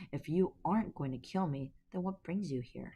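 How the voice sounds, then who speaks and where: A shaky, timid put-on character voice at a middle pitch and a moderate pace. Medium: read story. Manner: timid, trembling.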